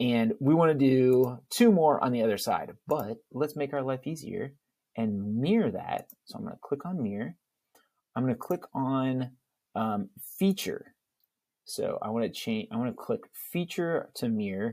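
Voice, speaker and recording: Against a quiet background, a man with a dark, mellow tone speaks at a fairly slow pace and makes very wide pitch swings. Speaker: CAD instructor. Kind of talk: tutorial.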